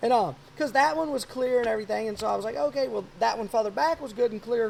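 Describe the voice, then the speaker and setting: A man with a Louisiana accent at a very fast pace, with an extremely high pitch, lively intonation, an animated tone, and noticeable background noise. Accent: Louisiana Southern US. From South Louisiana. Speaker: podcast host, hunter. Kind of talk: casual chat.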